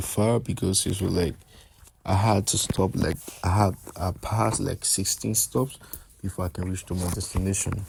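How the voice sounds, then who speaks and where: Speaking at a moderate pace, a man with a fairly low, somewhat breathy voice uses ordinary pitch variation. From Liberia. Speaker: student vlogger. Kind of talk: travel vlog narration. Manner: casual, repetitive with restarts.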